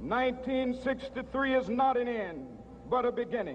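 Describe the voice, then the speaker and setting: Speaking at a fairly slow pace with an American accent, a man has an extremely high pitch. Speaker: civil rights leader giving a public speech. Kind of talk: oratory, public speech to a large crowd. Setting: outdoors, large rally.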